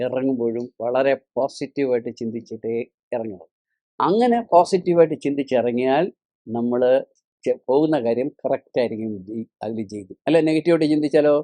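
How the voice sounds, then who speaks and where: In a dry, close sound with no echo, a man with a normal speaking voice talks with ordinary pitch variation. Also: medium pitch for a man. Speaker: spiritual teacher. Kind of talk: religious discourse.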